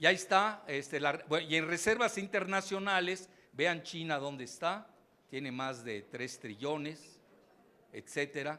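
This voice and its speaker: Using lively intonation, a man with a bright, sharp tone and fairly high pitch talks at a fairly slow pace. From Mexico. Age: 70s. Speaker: geopolitics analyst and professor. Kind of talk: keynote lecture.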